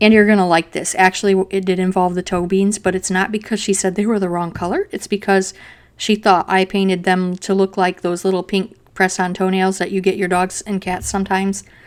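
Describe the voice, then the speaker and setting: The delivery is fairly quick, with hardly any pauses and a flat, monotone intonation. The recording is very clean, with a silent background. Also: woman, medium pitch for a woman. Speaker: digital pet artist. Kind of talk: tutorial narration over drawing. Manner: fast; casual, chatty.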